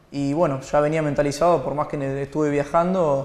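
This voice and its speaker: A man at a moderate pace with fairly even intonation and audible room echo. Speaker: guest. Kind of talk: interview answer. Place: studio.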